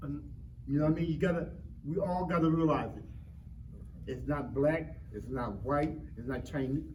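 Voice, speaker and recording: A man with a fairly high voice speaks at a moderate pace, leaving long, frequent pauses, with audible echo in the room. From Philadelphia, North Philly. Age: 60s. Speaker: community panelist. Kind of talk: panel discussion. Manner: animated, repetitive.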